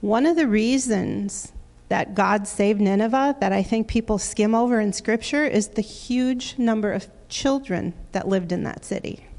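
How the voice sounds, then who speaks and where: Speaking at a moderate pace, a woman with an American accent has a fairly high pitch and ordinary pitch variation. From Wisconsin, US Midwest. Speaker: minister and children's teacher. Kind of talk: sermon. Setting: church.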